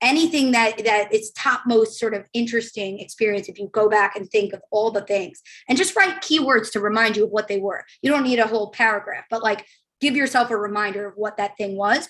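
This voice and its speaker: A woman's fairly high voice at a fairly quick pace, with fairly even intonation. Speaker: career coach. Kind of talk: guided reflection in a webinar. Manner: fast.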